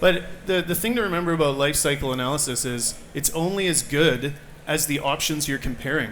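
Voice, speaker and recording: Audible room echo and noticeable background noise accompany a voice moving at a fairly quick pace with ordinary pitch variation. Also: man, fairly high pitch for a man. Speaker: environmental policy advisor. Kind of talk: panel debate.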